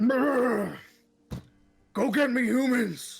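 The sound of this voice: A put-on character voice is pitched fairly high.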